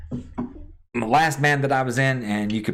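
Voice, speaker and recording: A man with an American accent and ordinary pitch variation, amid noticeable background noise and audible room echo. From US South, South Georgia. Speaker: gaming streamer and drummer. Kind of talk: casual live-stream chat answering viewers. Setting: live stream.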